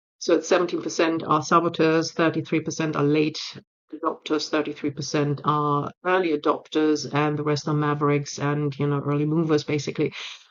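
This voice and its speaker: In a German accent, a woman speaks with a very deep, low pitch. Her delivery is monotone and flat at a fairly quick pace. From Germany. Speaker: change management consultant and speaker. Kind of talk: speech re-recording / talk. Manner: direct.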